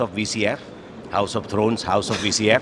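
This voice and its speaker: A man talks at a fairly quick pace with a medium pitch. Noticeable background noise sits behind him. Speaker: network architect. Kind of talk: interview. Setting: conference floor. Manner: fast.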